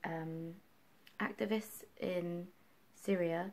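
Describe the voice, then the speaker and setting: Mumbling in a dark, mellow tone, a woman speaks at a fairly low pitch. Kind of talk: casual book review talk to camera. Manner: mumbly, distracted.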